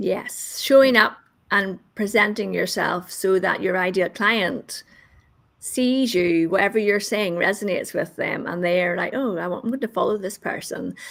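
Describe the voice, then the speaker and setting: A woman talks at a moderate pace in a medium-pitched voice. Her pitch varies in an ordinary way. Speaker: marketing consultant. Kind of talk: casual chat. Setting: live stream.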